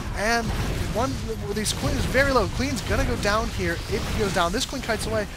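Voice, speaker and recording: With music in the background, a man speaks at a fairly quick pace in a high pitch with ordinary pitch variation. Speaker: esports shoutcaster. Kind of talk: video game match commentary.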